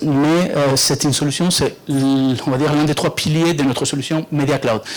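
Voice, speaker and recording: With noticeable background noise, a man with a fairly high pitch speaks at a moderate pace in monotone, flat intonation and very even loudness. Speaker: software company representative. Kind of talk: product presentation. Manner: halting, many fillers.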